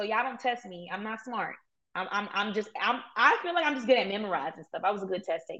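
Bright and sharp in tone, the speaker races along at a very fast pace in a New York accent, with lively intonation and big swings in loudness. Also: woman, fairly high pitch for a woman. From Brooklyn, New York. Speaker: entrepreneur and Airbnb host. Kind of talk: interview.

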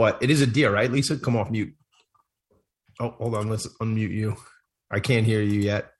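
At a moderate pace, a man talks in an animated, somewhat breathy tone. Long pauses come often. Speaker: radio co-host. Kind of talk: radio dj patter, live show intro. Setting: live radio show. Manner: high-energy, animated, hype-man style.

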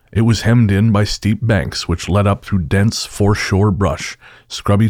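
A man with an ordinary speaking voice and fairly low pitch speaks at a moderate pace. The recording is very clean, with a silent background. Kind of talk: ghost story telling. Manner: hushed, suspenseful narration building dread.

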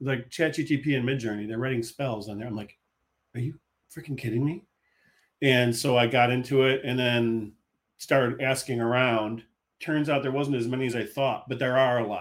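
Here a man with an unremarkable speaking voice talks at a moderate pace with fairly even intonation. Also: medium pitch for a man. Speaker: author. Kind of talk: casual interview chat.

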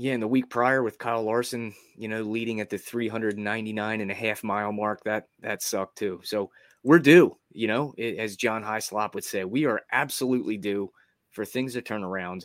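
Captured in a very clean recording with a silent background, a man speaks at a moderate pace and medium pitch with fairly even intonation, in a normal speaking voice. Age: 30s. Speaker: sports betting podcast host. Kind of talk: casual chat.

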